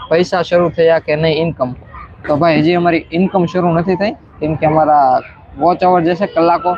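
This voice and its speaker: A man with a high pitch talks in a monotone, flat delivery at very even loudness over noticeable background noise. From Saurashtra, Gujarat (Gir area). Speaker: vlogger. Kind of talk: live stream chat.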